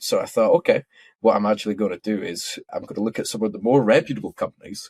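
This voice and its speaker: A man with a Scottish accent at a fairly quick pace, in a dry, close sound with no echo. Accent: Scottish, toned down a bit. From Scotland. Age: 20s. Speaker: futures trader and technical analyst. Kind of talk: podcast interview. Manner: casual, friendly.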